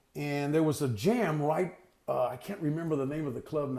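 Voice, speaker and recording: A normal speaking voice delivered at a fairly quick pace. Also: man. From Texas. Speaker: harmonica player. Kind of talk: interview.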